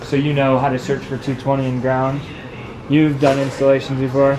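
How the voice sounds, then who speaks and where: A man's fairly high voice amid audible room echo and noticeable background noise. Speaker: equipment technician trainer. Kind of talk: hands-on technical training. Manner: hesitant, many fillers; quiet.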